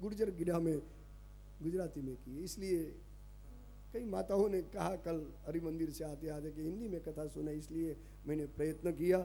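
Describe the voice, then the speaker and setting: Speaking with a Gujarati accent, a man uses a high pitch, a dark, mellow tone, and ordinary pitch variation. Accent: Gujarati-accented Hindi. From Kutch, Gujarat, India. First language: Gujarati (speaking Hindi). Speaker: religious storyteller. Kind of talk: religious discourse.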